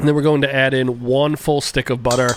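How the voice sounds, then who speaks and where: Noticeable background noise sits behind a man speaking with a fairly high pitch. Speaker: home cook. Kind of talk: cooking tutorial.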